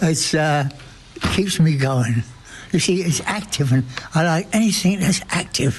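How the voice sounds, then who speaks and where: A man's fairly high-pitched voice, ordinary pitch variation, moderate pace, and noticeable background noise. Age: 80s+. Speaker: hospice patient. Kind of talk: interview.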